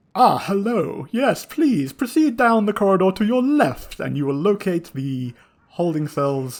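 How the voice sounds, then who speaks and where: Putting on a character voice, a man talks at a moderate pace in a high pitch with very wide pitch swings. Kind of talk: formal, polite.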